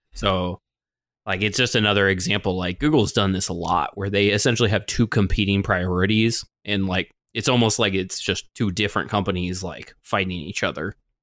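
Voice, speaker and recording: On a very clean recording with a silent background, a man with an unremarkable speaking voice talks at a fairly quick pace and with fairly even intonation. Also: fairly low pitch for a man. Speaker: gaming podcast host. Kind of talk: casual chat.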